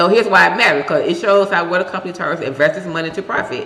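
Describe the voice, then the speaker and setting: Spoken with a Southern US accent, the voice comes through noticeable background noise. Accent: country Southern. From Tennessee. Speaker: stock research YouTuber, military veteran. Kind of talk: tutorial. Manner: casual, conversational.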